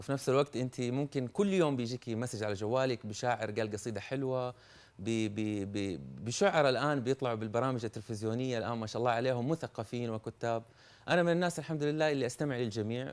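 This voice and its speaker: A man speaks in a Hejazi accent at a fairly quick pace. His pitch is medium, with ordinary variation. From Saudi Arabia, Hejaz. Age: young. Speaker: poet. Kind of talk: TV interview. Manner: halting, repeats words.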